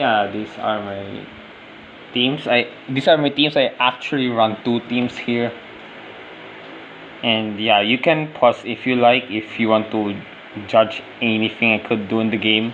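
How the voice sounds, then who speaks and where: Over noticeable background noise, a man at medium pitch speaks with fairly even intonation and long, frequent pauses. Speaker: gaming vlogger. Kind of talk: casual vlog narration over gameplay. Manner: halting.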